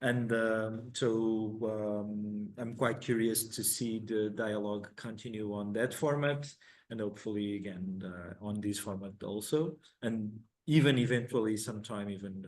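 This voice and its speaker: A man with an Italian accent at a fairly low pitch, a fairly slow pace and fairly even intonation. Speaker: conference session moderator. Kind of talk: conference moderation. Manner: halting, repeats words.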